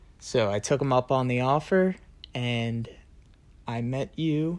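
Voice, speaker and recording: In an unremarkable speaking voice, a medium-pitched man speaks at a fairly slow pace with ordinary pitch variation. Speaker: college student, host's boyfriend. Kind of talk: casual chat.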